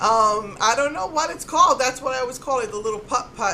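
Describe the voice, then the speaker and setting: Noticeable background noise sits behind a woman whose pitch rises and falls in an ordinary way. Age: middle-aged. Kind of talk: casual talk to camera.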